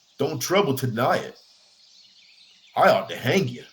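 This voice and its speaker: Against noticeable background noise, a man speaks fairly slowly at a fairly high pitch, with very wide pitch swings. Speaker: audiobook narrator. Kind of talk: audiobook reading.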